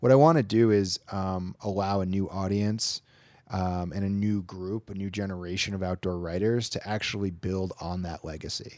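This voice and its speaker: A man with an American accent and an unremarkable speaking voice, fairly low in pitch, at a moderate pace with fairly even intonation, on a very clean recording with a silent background. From upstate New York, Lake George area. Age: 30s. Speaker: magazine owner and editor. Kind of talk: interview conversation.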